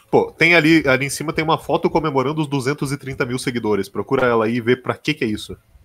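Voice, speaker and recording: A man with a Brazilian accent talks at a very fast pace with hardly any pauses. His pitch is fairly high and varies in an ordinary way. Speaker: stream co-host. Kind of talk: casual live-stream reaction chat. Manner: sarcastic, opinionated. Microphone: headset.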